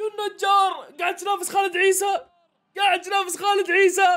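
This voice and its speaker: A man talks in an extremely high-pitched voice. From Saudi Arabia. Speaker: YouTuber football reaction streamer; football reaction streamer. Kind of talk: live match reaction commentary. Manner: animated, excitable. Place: home room. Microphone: studio mic.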